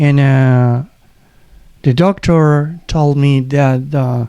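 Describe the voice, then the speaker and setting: Fairly even in intonation, a man speaks in a fairly high voice with a dark, mellow tone. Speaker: runner with a heart condition. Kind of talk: casual chat. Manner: halting.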